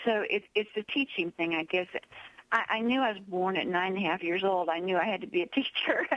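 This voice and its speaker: A woman's fairly quick speech amid noticeable background noise. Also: medium pitch for a woman, ordinary pitch variation. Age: 70s. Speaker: author and motivational speaker. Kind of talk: radio interview. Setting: radio show. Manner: energetic.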